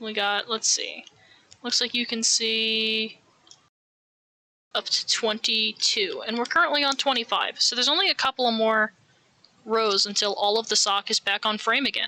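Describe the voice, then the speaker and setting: The speaker has an American accent and a moderate pace. Long pauses come often. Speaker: streamer. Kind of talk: casual live stream chat while knitting. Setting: home live stream with camera.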